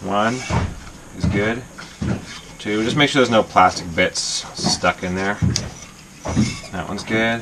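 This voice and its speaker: Loud background noise sits under the recording. A man speaks at a fairly slow pace. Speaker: sailing vlogger. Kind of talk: casual vlog tutorial. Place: boat. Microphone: phone near.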